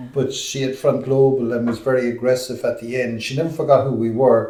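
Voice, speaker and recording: A man with an Irish accent speaks at a fairly quick pace and medium pitch, his intonation monotone and flat. Audible room echo surrounds the voice. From Ireland. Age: 60s. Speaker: podcast host and explorer. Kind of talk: podcast interview.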